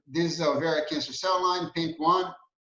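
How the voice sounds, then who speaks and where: A high-pitched male voice at a moderate pace, with audible room echo. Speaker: scientist giving a talk. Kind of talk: lecture. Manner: halting, many fillers and repeats.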